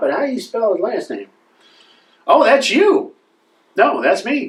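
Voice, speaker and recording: A man does a put-on character voice in a Southern US accent. The pitch is extremely high, and the pace is moderate. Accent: put-on American Southern. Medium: comedy sketch. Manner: drawling, good-natured.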